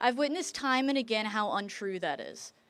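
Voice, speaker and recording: A woman's plain, everyday voice, fairly high in pitch, with an American accent, lively intonation and a fairly quick pace, on a very clean recording with a silent background. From rural US. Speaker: medical student. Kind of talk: prepared speech.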